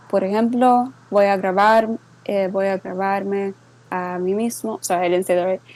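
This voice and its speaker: Speaking at a moderate pace, a woman uses fairly even intonation at a medium pitch. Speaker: server moderator giving a tutorial. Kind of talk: tutorial. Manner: halting, code-switching English and Spanish.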